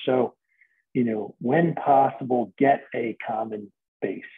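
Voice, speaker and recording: A man speaks at a fairly slow pace in a medium pitch, with a plain, everyday voice. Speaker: math teacher. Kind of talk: tutorial. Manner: casual.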